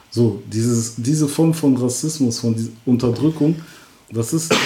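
Noticeable background noise sits behind a man. He talks at a fairly slow pace with ordinary pitch variation. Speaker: rapper. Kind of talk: casual interview.

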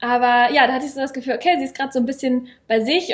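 Very fast in pace, a woman talks at a high pitch with fairly even intonation. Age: 20s. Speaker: coach. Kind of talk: casual chat. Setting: sitting at a table sharing one microphone.

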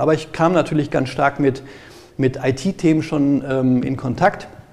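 Noticeable background noise surrounds a man who speaks at a moderate pace, medium in pitch, with ordinary pitch variation. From Ruhr area, Germany (Gelsenkirchen). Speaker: IT security auditor. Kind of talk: interview. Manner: halting.

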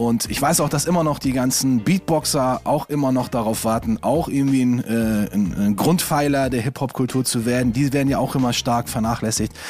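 A man's medium-pitched voice at a moderate pace, with very even loudness, ordinary pitch variation and hardly any pauses, over noticeable background noise. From Stuttgart, southwest Germany. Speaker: hip-hop DJ. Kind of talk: casual chat.

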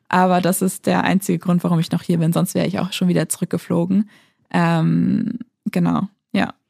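In a dry, close sound with no echo, a woman speaks at a moderate pace with a fairly low pitch, a dark, mellow tone, vocal fry, monotone, flat intonation and very even loudness. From Lower Saxony, Germany. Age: 20s. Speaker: aid worker. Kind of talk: interview.

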